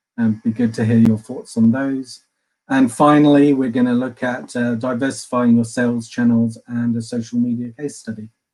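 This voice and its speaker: The voice has an English accent and a dark, mellow tone. Its intonation stays flat and monotone. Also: man, medium pitch for a man. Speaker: customer success manager at a yield software firm. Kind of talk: webinar presentation. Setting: online webinar. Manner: fast.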